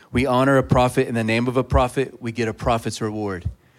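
A man speaks at a medium pitch with fairly even intonation in a plain, everyday voice, on a very clean recording with a silent background. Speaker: pastor. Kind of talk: prayer and introduction. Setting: church.

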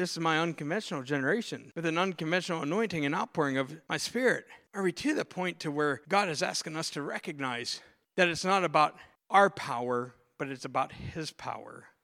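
Bright, sharp male voice with an American accent, fairly high in pitch with ordinary pitch variation, at a fairly quick pace, in a very clean recording with a silent background. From Pittsburgh, US. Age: 40s. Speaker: pastor. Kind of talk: sermon. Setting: church. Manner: animated.

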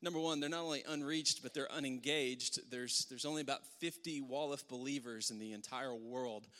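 Fairly high for a man, this voice moves at a fairly quick pace with fairly even intonation. It is a normal speaking voice. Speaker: worship leader. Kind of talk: church announcements and prayer. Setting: church.

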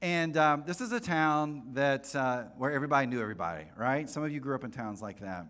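A fairly high-pitched man with an American accent, lively intonation and hardly any pauses. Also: fairly quick pace. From North Carolina, US South. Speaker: pastor. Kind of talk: sermon. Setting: church with congregation. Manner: casual, conversational, humorous.

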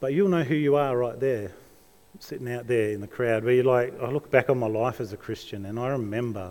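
A fairly quick pace in an Australian accent, with ordinary pitch variation. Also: man, medium pitch for a man. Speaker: pastor. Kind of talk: sermon. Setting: church.

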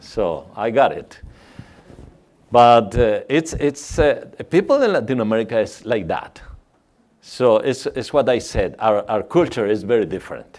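A man talks with a Mexican accent at a fairly slow pace. His intonation is lively. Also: medium pitch for a man. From Mexico. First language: Spanish. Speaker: missionary. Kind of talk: church talk. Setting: church. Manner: halting.

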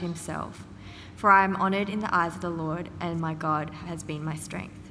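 This woman has an unremarkable speaking voice, fairly low in pitch, with fairly even intonation and a moderate pace. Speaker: scripture reader. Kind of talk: reading aloud.

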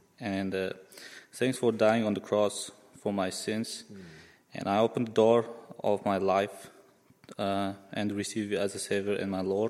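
This man has a fairly low pitch and a Central Asian accent, with monotone, flat intonation. He talks at a fairly slow pace, leaving long, frequent pauses. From Uzbekistan. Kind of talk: testimony.

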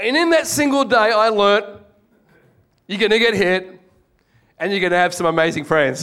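In an Australian accent, a man speaks with a high pitch, a bright, sharp tone and lively intonation. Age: middle-aged. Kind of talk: testimony. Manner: animated.

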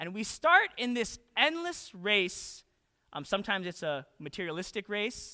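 Someone with a Western Canadian accent talks at a moderate pace in a very clean recording with a silent background. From Canada, Calgary, Alberta. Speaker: pastor. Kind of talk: sermon. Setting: church.

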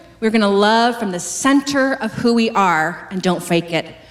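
With a Canadian accent and a plain, everyday voice, a woman talks at a fairly slow pace using lively intonation. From Western Canada. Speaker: pastor. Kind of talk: sermon.

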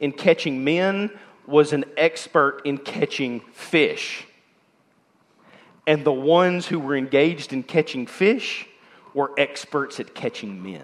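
Booming in a put-on character voice, a man speaks at a fairly slow pace with fairly high pitch.

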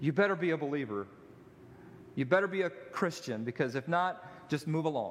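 Talking at a fairly quick pace, a man has a plain, everyday voice, fairly high-pitched with lively intonation. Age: 40s. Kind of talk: sermon. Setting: church.

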